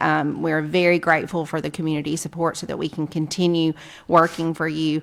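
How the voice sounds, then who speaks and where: A woman speaks with an American accent in a fairly low pitch. Her pace is moderate. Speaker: city council member. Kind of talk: council closing remarks. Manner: forceful, energetic.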